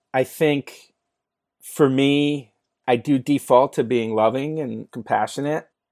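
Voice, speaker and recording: This speaker has a Californian accent and goes at a very slow pace with fairly even intonation. The recording is very clean and dry, close and free of echo, with a silent background. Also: man, medium pitch for a man. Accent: Californian American. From US West Coast (San Francisco). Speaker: entrepreneur and mental health advocate. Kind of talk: podcast interview.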